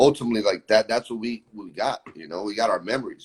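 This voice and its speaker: Very fast and with an American accent, a man speaks in a dry, close sound with no echo. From Florida, Brazilian family. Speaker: musician. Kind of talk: casual chat.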